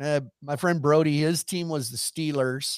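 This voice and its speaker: Recorded very cleanly with a silent background and a dry, close sound with no echo, a man with a fairly high voice talks at a moderate pace in a plain, everyday voice. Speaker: rodeo entertainer and sideline reporter. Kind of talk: casual chat. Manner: joking, witty.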